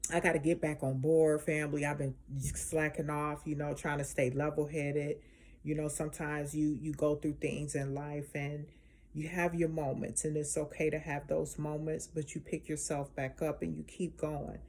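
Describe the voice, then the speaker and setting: A woman speaks with a very deep, low pitch in a monotone, flat intonation, in a very clean recording with a silent background. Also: moderate pace. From Chicago. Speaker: spiritual healer vlogger. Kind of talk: casual vlog monologue. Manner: passionate, emphatic.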